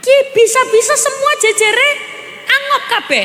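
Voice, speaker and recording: A woman with a Javanese accent, raised and projected, animated in tone, at a fairly slow pace amid noticeable background noise. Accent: Javanese-accented Indonesian. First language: Javanese (speaking Indonesian). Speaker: female Islamic preacher. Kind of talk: sermon. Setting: stage with audience.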